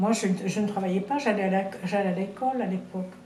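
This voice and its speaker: Audible room echo surrounds a woman of medium pitch whose intonation is fairly even. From Algeria (French Algeria, Tébessa). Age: 90s. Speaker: eyewitness of wartime history. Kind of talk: interview testimony. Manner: halting, many repetitions and fillers.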